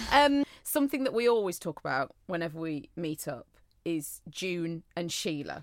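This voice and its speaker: A woman with a Cheshire accent talks at a moderate pace and a fairly low pitch. Her pitch swings very widely. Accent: northern English (Cheshire). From Cheshire, northern England. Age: 30s. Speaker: podcast co-host. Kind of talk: casual chat. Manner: animated.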